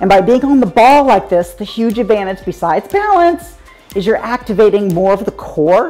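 Over faint music in the background, a woman talks at a moderate pace. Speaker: fitness coach. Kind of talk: workout instruction. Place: home room.

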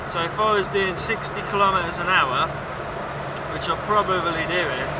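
Amid loud background noise, a man talks at a fairly slow pace in a dry sound with no echo. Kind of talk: casual vlog chat. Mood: jokey, self-mocking. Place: car. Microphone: phone near.

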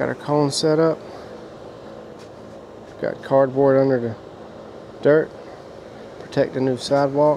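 The delivery is fairly slow and monotone, with flat intonation. The sound is dry with no echo, though noticeable background noise comes through. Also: man. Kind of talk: work walkthrough commentary. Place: open country. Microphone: phone near.

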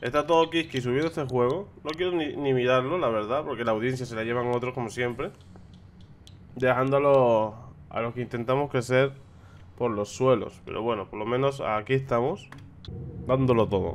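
Here a man talks at a moderate pace and medium pitch, with ordinary pitch variation.

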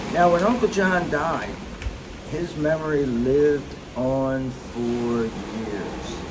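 A man with an American accent, fairly high pitch and lively intonation at a very slow pace, over noticeable background noise. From US Mid-Atlantic. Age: 60s. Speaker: grandfather vlogger, retired tax official. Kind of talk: casual storytelling to grandchildren. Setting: outdoors on a cruise ship balcony. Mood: reflective, fond storytelling. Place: boat. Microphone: phone near.

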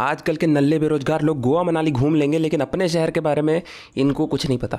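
In a very clean recording with a silent background, a man speaks with a dark, mellow tone. His fairly high pitch stays monotone, with flat intonation. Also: moderate pace. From Bilaspur, Chhattisgarh, India. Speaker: vlogger, comedy creator. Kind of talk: travel vlog voiceover narration. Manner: casual, humorous.

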